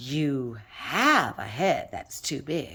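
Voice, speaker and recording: A female-sounding put-on character voice speaks with a very deep, low pitch. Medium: read story. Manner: literal, deadpan.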